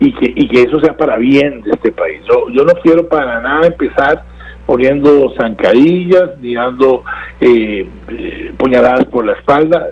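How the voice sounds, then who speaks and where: There is noticeable background noise behind the speaker. A man talks at a fairly slow pace. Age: 60s. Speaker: political analyst. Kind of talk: interview. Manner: halting, many repetitions and fillers.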